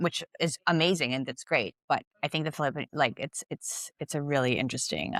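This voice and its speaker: A woman with vocal fry talks at a fairly quick pace, hardly pausing, in a very deep, low pitch with ordinary pitch variation. The recording is very clean, with a silent background and a dry, close sound with no echo. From Philippines (Manila). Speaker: investment director. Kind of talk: podcast interview.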